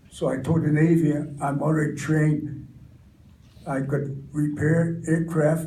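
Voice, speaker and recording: A man with an American accent speaks at a fairly slow pace with long, frequent pauses, in a dark, mellow, somewhat breathy tone at a fairly high pitch. His intonation stays monotone and flat, and audible room echo surrounds him. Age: 90s. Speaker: war veteran. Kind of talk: testimony. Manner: halting.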